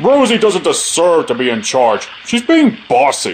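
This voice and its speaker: A man uses a put-on character voice, high in pitch. He keeps a moderate pace against clear background noise. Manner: sulky, indignant.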